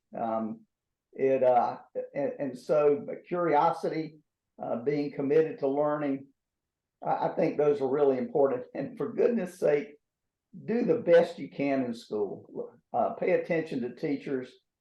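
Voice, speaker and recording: A man with an American accent speaks at a fairly slow pace in a fairly high voice, his pitch swinging very widely and his words broken by long, frequent pauses. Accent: North Carolina accent overlaid with Texas. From southeastern North Carolina, Robeson County. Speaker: former astronaut. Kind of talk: interview answers. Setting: video call. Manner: halting, many fillers and repeats.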